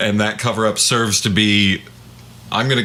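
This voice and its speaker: A man speaks at a moderate pace with a fairly low pitch. Noticeable background noise runs under his voice. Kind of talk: casual podcast discussion.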